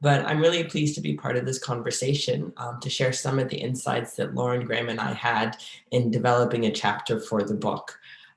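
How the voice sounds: In a raspy, put-on character voice of medium pitch, a man speaks at a fairly quick pace with ordinary pitch variation.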